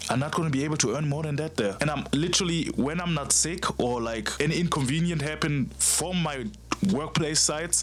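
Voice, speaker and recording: Noticeable background noise under a fairly quick delivery with ordinary pitch variation. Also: man. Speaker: fitness content creator. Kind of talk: casual talk to camera. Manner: stuttering, hesitant.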